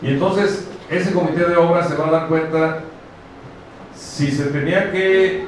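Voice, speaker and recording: A man talks at a fairly slow pace with ordinary pitch variation. Strong room echo surrounds his voice, and light background noise is present. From Mexico, Guanajuato. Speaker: municipal official. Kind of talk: public speech. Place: hall.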